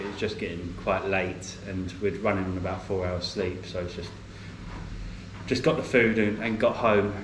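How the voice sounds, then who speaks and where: A man mumbling with an English accent, fairly low pitch, fairly even intonation and a moderate pace, with noticeable background noise and audible room echo. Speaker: travel vlogger. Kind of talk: casual vlog talk to camera. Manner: mumbles a bit; hesitant, many fillers.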